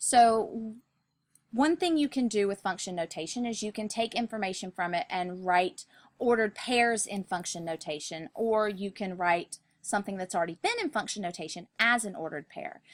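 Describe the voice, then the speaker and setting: A woman's medium-pitched voice with lively intonation, dry and close with no echo. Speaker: math teacher. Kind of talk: video lesson. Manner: fast.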